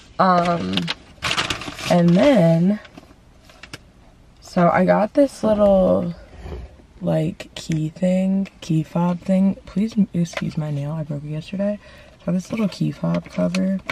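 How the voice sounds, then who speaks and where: A woman at a very slow pace with long, frequent pauses and ordinary pitch variation, amid noticeable background noise. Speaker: lifestyle vlogger. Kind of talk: casual vlog. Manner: casual, filler-heavy.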